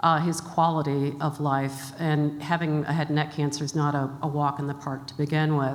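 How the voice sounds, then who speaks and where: A woman speaks in a very deep, low pitch with monotone, flat intonation and hardly any pauses. Room echo is audible. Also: moderate pace. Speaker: health charity executive. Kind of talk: conference talk. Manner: many filler words.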